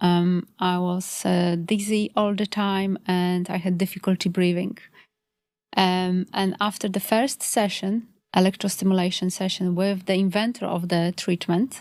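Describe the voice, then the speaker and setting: A woman with a Polish accent speaks at a fairly slow pace in a medium pitch, her intonation monotone and flat, on a very clean recording with a silent background. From Poland. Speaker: complementary health practitioner. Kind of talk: podcast interview. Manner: hesitant, many fillers.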